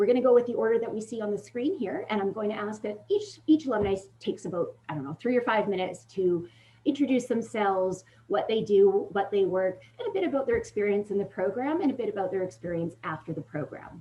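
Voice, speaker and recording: Speaking at a very fast pace, a woman with a medium pitch and a somewhat breathy voice uses lively intonation. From Ontario, Canada. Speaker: career services manager. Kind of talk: info session moderation.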